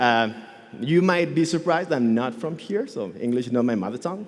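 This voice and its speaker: In a room with audible echo, a man with a Catalan Spanish accent talks at a fairly quick pace with very wide pitch swings. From Catalonia, Spain. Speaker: software engineer and conference speaker. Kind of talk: conference talk. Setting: stage with audience. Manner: animated.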